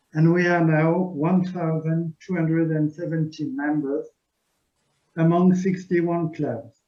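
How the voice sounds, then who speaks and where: A fairly slow, high-pitched male voice with a French accent and fairly even intonation. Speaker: club officer. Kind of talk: presentation.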